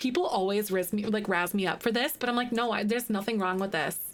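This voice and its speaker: A woman's fairly high-pitched voice. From Wisconsin.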